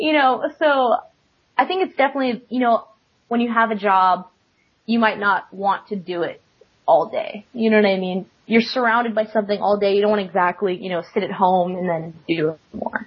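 Somewhat breathy and fairly high, a woman's voice in an American accent moves at a moderate pace with ordinary pitch variation. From Florida. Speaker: competitive card game player. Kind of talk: interview. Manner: hesitant with fillers.

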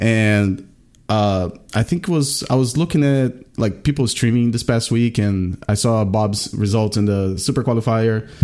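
A man with a Portuguese accent speaks in a dark, mellow tone at a moderate pace. His loudness stays very even, and his pitch varies in an ordinary way. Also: medium pitch for a man. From Brazil. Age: 30s. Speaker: card game streamer. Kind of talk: casual chat.

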